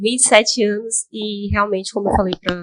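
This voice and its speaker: A woman speaks at a moderate pace with ordinary pitch variation, the sound dry and close with no echo. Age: 20s. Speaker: highway police officer. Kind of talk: interview. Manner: halting.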